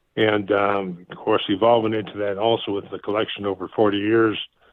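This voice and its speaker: A man with an American accent, fairly low in pitch. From Canada, then Brazil, later Texas. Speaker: retired basketball coach and museum curator. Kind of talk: interview.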